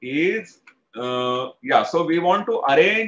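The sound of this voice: Lively intonation marks this man's fairly high-pitched voice, which has a fairly bright tone.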